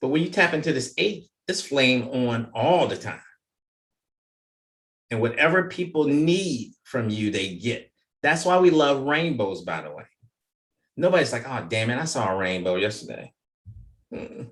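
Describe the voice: A man talks at a fairly slow pace, leaving long, frequent pauses. His medium-pitched voice has a fairly bright tone and lively intonation.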